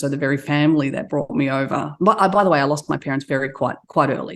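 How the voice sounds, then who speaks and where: Very deep and low in pitch, a woman speaks with an Australian accent. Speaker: entrepreneur. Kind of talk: interview.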